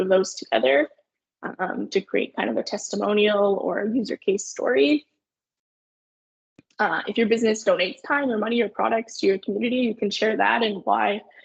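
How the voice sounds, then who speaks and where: A woman with a Canadian accent, fairly high pitch, vocal fry, lively intonation and a fairly quick pace, in a dry, close recording with no echo. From Canada, Sudbury Ontario. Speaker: marketing agency owner. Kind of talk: webinar presentation. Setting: online webinar. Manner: fast.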